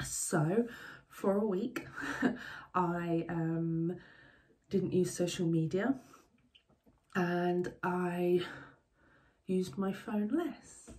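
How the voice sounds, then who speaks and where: A woman speaks very slowly with a dark, mellow, somewhat breathy tone at a fairly low pitch. She leaves long, frequent pauses, and her pitch varies in an ordinary way. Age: 40s. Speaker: media teacher. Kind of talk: interview testimony. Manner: hesitant, many ums.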